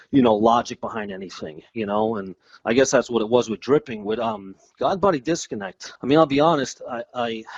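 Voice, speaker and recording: A man with a New Jersey accent talks at a fairly quick pace and medium pitch, with ordinary pitch variation. The sound is dry and close with no echo against a quiet background. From US Northeast, North Jersey. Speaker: ambient musician. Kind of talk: interview. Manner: casual, filler-heavy.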